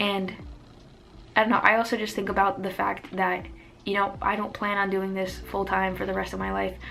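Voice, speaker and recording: Audible room echo around a woman talking at a fairly quick pace. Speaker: lifestyle youtuber and poet. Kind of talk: casual chat. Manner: animated.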